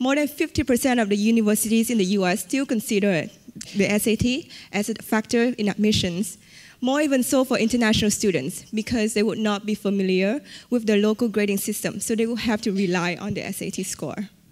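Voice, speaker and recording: A woman talks at a fairly quick pace. She has a fairly high pitch and a Vietnamese accent. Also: ordinary pitch variation. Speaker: entrepreneur. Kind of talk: conference talk.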